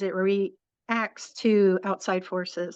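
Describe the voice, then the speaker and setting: A woman with an American accent uses a normal speaking voice with ordinary pitch variation. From northern US, farm. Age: 60s. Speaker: interviewee sharing health story. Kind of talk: interview. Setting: live stream on social media.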